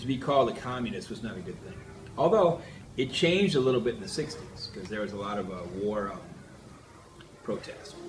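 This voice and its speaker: In an American accent, the speaker talks at a fairly quick pace with very wide pitch swings, big swings in loudness and long, frequent pauses, over noticeable background noise and audible room echo. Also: man, medium pitch for a man. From US Midwest, Minnesota. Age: 50s. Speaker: interviewee recalling history. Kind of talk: interview. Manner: halting.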